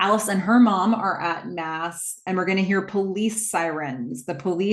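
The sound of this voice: With ordinary pitch variation, an unforced reading voice is heard.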